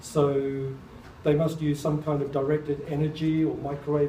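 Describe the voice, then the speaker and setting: A man's fairly high voice, monotone and flat at a fairly quick pace, with audible room echo and noticeable background noise. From New Zealand (born in England, moved as child). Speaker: artist and speaker on UFOs and crop circles. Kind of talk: public talk with audience Q&A.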